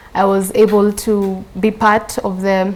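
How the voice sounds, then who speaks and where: Pitched at a medium level, a woman's voice holds a monotone, flat intonation. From Kenya. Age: 20s. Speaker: engineering student. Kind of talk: interview.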